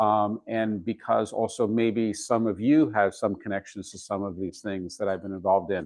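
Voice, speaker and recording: In an American accent, a man talks at a moderate pace with a fairly low pitch and fairly even intonation. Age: 60s. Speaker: digital archivist. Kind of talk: lecture. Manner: halting.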